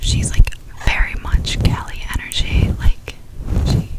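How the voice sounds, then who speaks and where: Whispering from a woman with an American accent, at a moderate pace, with noticeable background noise. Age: 20s. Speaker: ASMR content creator. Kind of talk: whispered ASMR ramble to camera. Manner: whispered, soft-spoken, casual.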